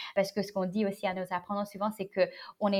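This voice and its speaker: The speaker is a woman with a medium pitch. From United States (born in China). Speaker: startup CEO. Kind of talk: interview. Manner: halting, many fillers.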